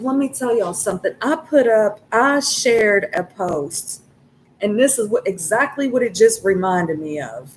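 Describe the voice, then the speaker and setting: A woman's fairly high voice with lively intonation, at a fairly slow pace, over noticeable background noise. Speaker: tarot reader. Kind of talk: tarot reading. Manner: halting, gets caught up on words; casual, swearing.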